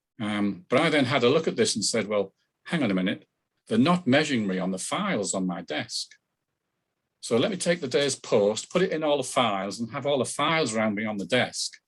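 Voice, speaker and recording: With a northern English accent, this speaker talks at a fairly quick pace. The pitch swings very widely. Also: man, medium pitch for a man. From northern England. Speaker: business consultant. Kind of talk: radio interview.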